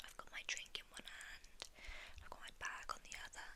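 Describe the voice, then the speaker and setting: A woman whispers at a fairly slow pace in a gentle tone. Noticeable background noise can be heard. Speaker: ASMR creator. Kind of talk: ASMR ramble. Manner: gentle whispering.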